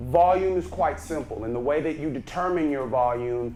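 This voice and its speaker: With a Texan accent, a man speaks at a fairly high pitch with lively intonation, and the room echo is audible. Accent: Texas Southern. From Texas, Brenham. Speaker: speaking coach. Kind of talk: workshop lecture. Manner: naturally loud.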